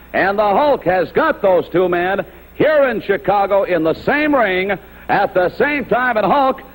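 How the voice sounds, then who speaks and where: A man's high voice with lively intonation and very even loudness, at a fairly slow pace amid noticeable background noise. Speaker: wrestling interviewer. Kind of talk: TV wrestling announcement. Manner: excited.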